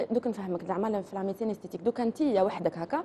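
Light background noise accompanies a woman speaking at a very fast pace. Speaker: guest. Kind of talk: interview answer. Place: studio. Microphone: lapel.

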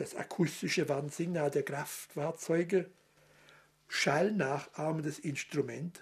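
A man's very slow delivery, with fairly even intonation. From Swabia. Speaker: dialect expert. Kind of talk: TV segment explaining dialect words.

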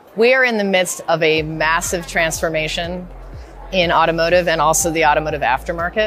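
A woman speaks at a moderate pace over faint background music, with a dry sound and no echo. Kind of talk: interview answer. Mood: confident, promotional. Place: hall. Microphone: lapel.

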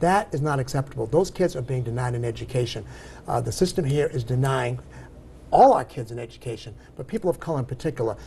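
A man with an American accent talks at a very fast pace, his medium-pitched voice dark and mellow with vocal fry. Light background noise sits behind him. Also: ordinary pitch variation. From Massachusetts. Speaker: civil rights organization chapter president; interview guest. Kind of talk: TV interview. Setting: TV studio. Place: studio. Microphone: lapel.

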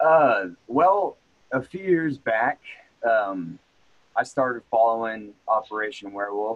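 A man with an unremarkable speaking voice and a medium pitch talks at a fairly slow pace, his intonation lively and his loudness swinging widely. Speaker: martial arts instructor. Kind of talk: casual interview. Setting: in person, same room.

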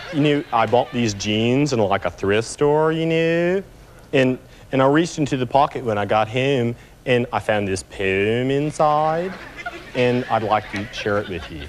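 A man puts on a drawling character voice at medium pitch with lively intonation. He keeps a moderate pace over clear background noise. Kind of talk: comic character sketch. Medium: comedy sketch. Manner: spacey, drawling, filler-heavy, earnest.

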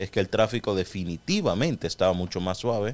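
A man talks at a fairly quick pace. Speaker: radio co-host. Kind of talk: radio talk show discussion. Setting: radio studio.

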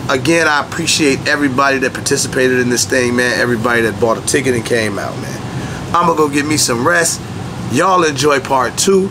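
A man talks at a fairly quick pace with a medium pitch and ordinary pitch variation. Background noise is clearly audible.

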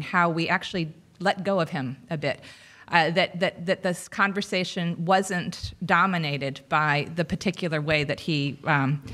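A woman with a fairly low pitch speaks in a bright, sharp tone. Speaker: panel moderator. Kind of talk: panel discussion summary. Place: hall. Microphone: podium.

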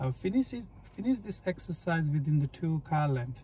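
Male voice with a dry sound and no echo. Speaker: driving instructor. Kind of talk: tutorial. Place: car. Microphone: phone near.

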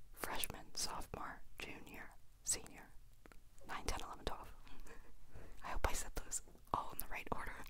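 At a moderate pace, a woman speaks in a whisper. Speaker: vlogger. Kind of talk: casual vlog chat. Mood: warm, reassuring. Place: home room. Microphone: handheld.

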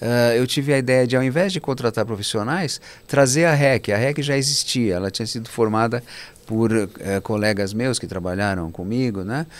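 This man's pitch varies in an ordinary way as he keeps to a moderate pace. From Brazil (born in Cairo, Egypt, moved as small child). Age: 60s. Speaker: real estate fund manager; guest. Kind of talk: interview. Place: studio. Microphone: studio mic.

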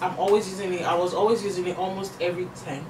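A woman with a Nigerian accent, over noticeable background noise. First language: not English. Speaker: beauty YouTuber and influencer. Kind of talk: casual monologue with makeup tutorial. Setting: home. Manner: animated, chatty. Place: home room. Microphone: camera far.

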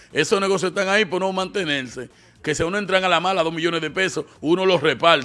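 A man speaks in a bright, sharp tone. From Dominican Republic. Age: 40s. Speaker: online show host. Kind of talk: casual commentary. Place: studio. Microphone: studio mic.

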